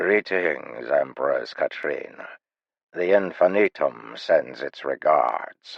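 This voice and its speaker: A man uses a gravelly, put-on character voice. He talks at a very slow pace. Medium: read story. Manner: calm.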